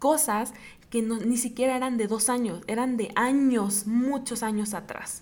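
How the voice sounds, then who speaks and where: Amid audible room echo, a woman with a Mexican accent speaks at a fairly slow pace in a fairly high pitch with fairly even intonation. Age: 20s. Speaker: podcast host. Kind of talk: personal testimony monologue. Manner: halting, repeats words.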